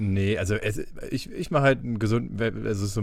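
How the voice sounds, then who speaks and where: Medium in pitch, this man has an ordinary speaking voice. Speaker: podcast host. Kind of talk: casual chat.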